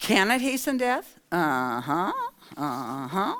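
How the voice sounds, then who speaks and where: Very wide pitch swings and vocal fry in a woman's voice. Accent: American. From US Midwest, Iowa. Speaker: nurse and professor. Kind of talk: lecture.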